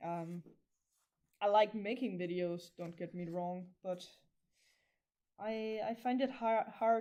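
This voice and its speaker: Very slow, with long, frequent pauses and big swings in loudness, a woman speaks at medium pitch in a dark, mellow tone with ordinary pitch variation. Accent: Danish. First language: Danish. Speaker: crafter livestreamer. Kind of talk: casual livestream monologue while crafting. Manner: halting, stumbles over words.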